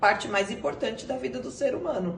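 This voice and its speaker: Amid noticeable background noise and audible room echo, a woman talks at a medium pitch. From Brazil, São Paulo. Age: 40s. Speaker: interviewee, mother. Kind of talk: interview. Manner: halting, with many fillers.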